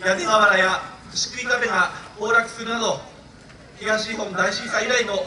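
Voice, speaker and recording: Here a man uses a raised, projected voice with fairly even intonation. Audible room echo and light background noise surround him. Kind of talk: formal ceremonial speech. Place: open country. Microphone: pa.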